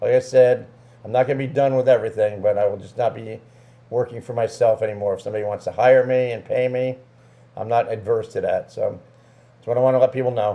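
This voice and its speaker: A man's medium-pitched voice, dark and mellow in tone, very fast, with fairly even intonation and big swings in loudness. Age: 70s. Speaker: music show promoter. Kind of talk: casual chat.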